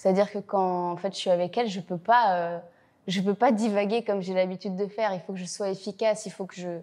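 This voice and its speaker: Against a quiet background, a woman talks at a fairly quick pace. Her tone is dark and mellow, with monotone, flat intonation. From Belgium, Brussels. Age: 20s. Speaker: actress. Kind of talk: interview. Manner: talkative, many hesitations.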